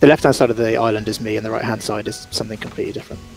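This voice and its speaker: Speaking with a London accent at a medium pitch, a man is heard over noticeable background noise. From London, England. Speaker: creative agency owner, game island creator. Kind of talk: casual interview. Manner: hesitant, many fillers.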